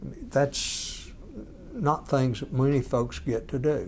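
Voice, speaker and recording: A man with a Georgia accent at a fairly slow pace. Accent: Georgia Southern US. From Georgia, US South (near Commerce). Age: 60s. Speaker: lawyer and former state attorney general. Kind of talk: interview.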